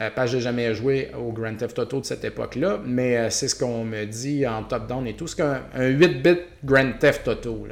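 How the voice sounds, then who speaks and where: Speaking at medium pitch, a man talks with a Quebec accent. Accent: Québécois French. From Quebec, Beauce. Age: 40s. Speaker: podcast host, retro game shop owner. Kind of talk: casual solo podcast monologue. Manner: casual, many hesitations.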